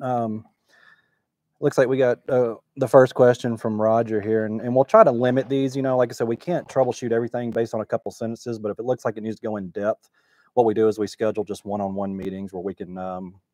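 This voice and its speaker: This man talks at a very fast pace in a dark, mellow tone with ordinary pitch variation and big swings in loudness. The sound is dry with no echo, over a quiet background. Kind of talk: livestream Q&A chat. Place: workshop. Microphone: lapel.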